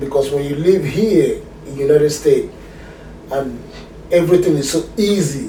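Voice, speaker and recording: A man speaks with a strong Nigerian accent at a moderate pace and ordinary pitch variation. Noticeable background noise and audible room echo are present. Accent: Nigerian, still strong. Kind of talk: casual chat.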